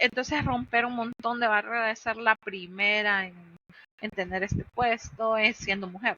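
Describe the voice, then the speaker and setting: This is a plain, everyday voice. Its loudness has big swings. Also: woman. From Honduras. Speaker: cloud infrastructure engineer. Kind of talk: podcast interview.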